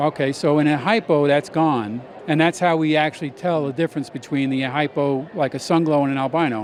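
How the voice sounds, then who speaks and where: Against noticeable background noise, a man with a fairly high pitch talks at a fairly quick pace with hardly any pauses. His loudness stays very even, and his pitch varies in an ordinary way. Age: 60s. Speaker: snake breeder. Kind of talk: casual interview.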